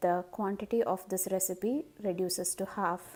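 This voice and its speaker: This woman has a Tamil accent. Her tone is dark and mellow. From Madurai, Tamil Nadu, India; Tamil Nadu. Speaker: cooking vlogger. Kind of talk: cooking tutorial. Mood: cheerful, warm.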